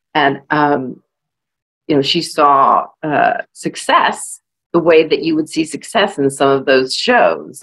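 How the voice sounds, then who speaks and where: Here a woman talks with a slight Southern US accent. Her pace is fairly slow. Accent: slight Southern drawl. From California, US. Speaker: author. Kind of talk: panel discussion. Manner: hesitant, many fillers.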